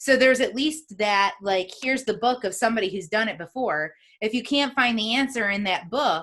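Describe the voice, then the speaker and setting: A woman with fairly high pitch, lively intonation and a fairly quick pace. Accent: American. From upstate New York. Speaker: podcast host. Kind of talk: interview conversation.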